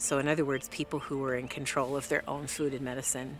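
With clear music behind her, a woman speaks at a very deep, low pitch in a dry sound with no echo. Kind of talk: interview answer. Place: open country.

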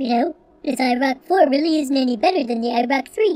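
This female-sounding voice uses a cartoonish character voice at a high pitch. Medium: puppet show. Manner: casual, unimpressed.

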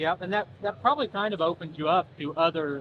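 Here a man speaks at a fairly quick pace. His pitch is fairly high, with ordinary variation. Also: fairly bright tone.

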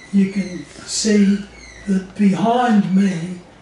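Light background noise sits under a man's monotone, flat delivery. The room echo is audible. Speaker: interviewee. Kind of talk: interview answer. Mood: amused, relaxed. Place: home room.

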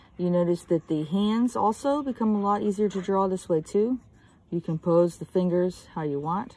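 A woman speaks at a fairly slow pace in a calm tone that is dark and mellow, the sound dry with no echo. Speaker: art teacher. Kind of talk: drawing tutorial. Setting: outdoors. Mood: calm, relaxed. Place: garden. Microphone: phone near.

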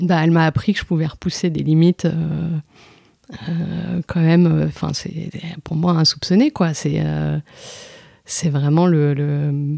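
Very deep and low in pitch, a woman speaks with a dark, mellow tone and monotone, flat intonation at a very slow pace. Long, frequent pauses break up her speech, and the sound is dry and close with no echo. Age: 30s. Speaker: amateur runner. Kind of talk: casual interview. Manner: halting, many hesitations.

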